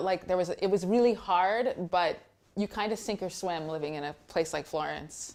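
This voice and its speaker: With an American accent and an unremarkable speaking voice, a woman speaks at a moderate pace and medium pitch with ordinary pitch variation. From Texas, USA. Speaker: blogger and content editor. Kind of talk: interview answer.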